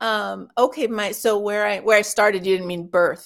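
A woman with an American accent speaks in an unremarkable speaking voice at a medium pitch. Her pace is moderate, with ordinary pitch variation. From US West Coast, Los Angeles. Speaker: health coverage advocate. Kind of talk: casual chat. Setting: live stream.

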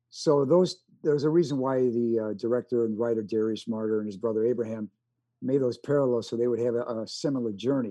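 A man with a Chicago accent speaks at a medium pitch in a dark, mellow tone with ordinary pitch variation. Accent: Chicago-tinged American. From US Midwest. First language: American Sign Language. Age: 70s. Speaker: actor and war veteran. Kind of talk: casual interview. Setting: video call.

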